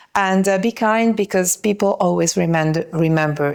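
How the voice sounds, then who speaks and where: A woman with an Italian accent, speaking at a moderate pace. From Italy. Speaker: yachting industry networker. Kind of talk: podcast interview. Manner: hesitant, many fillers.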